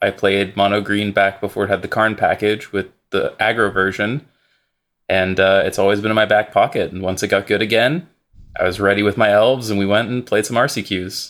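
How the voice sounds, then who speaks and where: In a very clean recording with a silent background, a man with a fairly low pitch speaks in a plain, everyday voice. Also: fairly even intonation. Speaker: Magic: The Gathering streamer and writer. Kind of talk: casual podcast discussion of game strategy.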